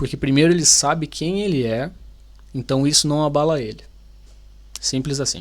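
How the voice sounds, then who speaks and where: Pitched fairly high, a man talks at a moderate pace with ordinary pitch variation and long, frequent pauses. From Brazil, Paraná. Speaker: YouTuber, Brazilian immigrant. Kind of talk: video reaction commentary. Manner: animated, informal.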